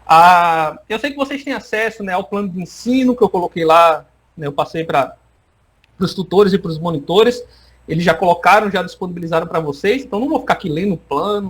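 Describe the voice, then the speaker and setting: Lively in intonation, a man talks at a fairly quick pace in a high pitch. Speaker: university lecturer. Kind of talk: online lecture. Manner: fast; animated.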